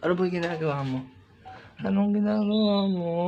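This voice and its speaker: Noticeable background noise sits behind a man's high voice. He talks at a fairly quick pace with lively intonation. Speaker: vlogger. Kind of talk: casual vlog chat. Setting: indoors at home, early morning. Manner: quiet, subdued speaking.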